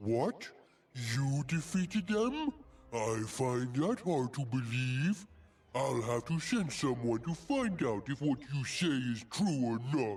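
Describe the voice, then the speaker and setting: A man speaks at a medium pitch and a fairly slow pace in a put-on character voice. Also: lively intonation, very even loudness. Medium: video game. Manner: pompous, condescending.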